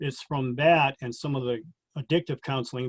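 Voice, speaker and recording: This man has a normal speaking voice at a medium pitch. He talks at a fairly quick pace with fairly even intonation. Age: 60s. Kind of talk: interview about personal experiences.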